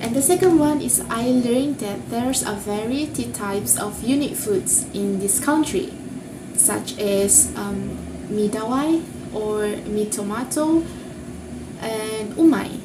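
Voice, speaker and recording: Speaking with a non-native accent, a woman uses lively intonation at a fairly slow pace. Her voice is fairly high-pitched, with noticeable background noise and audible room echo. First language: not English. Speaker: university student. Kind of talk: class presentation.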